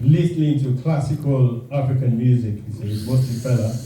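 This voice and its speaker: Noticeable background noise and audible room echo surround a man talking at a fairly slow pace in a medium pitch with fairly even intonation. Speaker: alumni association secretary. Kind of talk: formal speech at dinner event. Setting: hotel function room with audience. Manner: halting.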